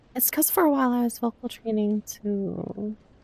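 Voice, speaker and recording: A woman talks at a very slow pace with ordinary pitch variation while noticeable background noise plays. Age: 20s. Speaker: livestreamer. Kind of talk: casual chat. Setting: live stream. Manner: animated.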